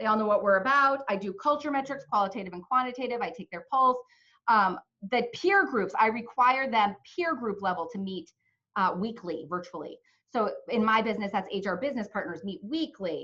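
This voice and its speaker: A woman speaks at a fairly quick pace in a fairly high pitch, her bright, sharp tone carried by lively intonation. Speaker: HR consultant and company CEO. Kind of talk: webinar presentation. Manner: fast; animated.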